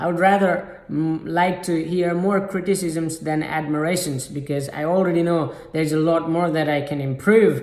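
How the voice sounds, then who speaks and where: A man's high-pitched, fairly even intonation at a moderate pace, with noticeable background noise. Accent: non-native. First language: not English. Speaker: self-improvement YouTuber. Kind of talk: motivational talk to camera. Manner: halting, many fillers.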